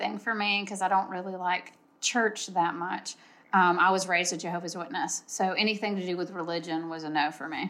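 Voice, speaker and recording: With an unremarkable speaking voice, a woman talks at a medium pitch and a fairly quick pace. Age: 40s. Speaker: event organizer. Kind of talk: casual chat.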